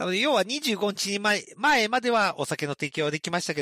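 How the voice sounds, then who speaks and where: The recording is very clean, with a silent background and a dry, close sound with no echo. A man with vocal fry and a bright, sharp tone swings his pitch very widely. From regional Japan, outside Tokyo. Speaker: main podcast MC. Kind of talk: casual comedy chat. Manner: laughs often.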